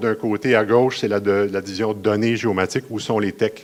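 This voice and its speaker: In a Quebec accent, a man speaks at a fairly low pitch. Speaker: municipal geomatics manager. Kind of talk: conference presentation. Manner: fast.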